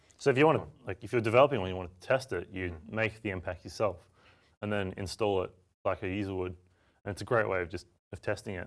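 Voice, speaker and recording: Against a quiet background, a man speaks very fast at a fairly low pitch with an Australian accent. His loudness swings widely. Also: ordinary pitch variation. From Australia, Melbourne. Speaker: software developer and tool maker. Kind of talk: software demo tutorial. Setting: studio. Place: studio.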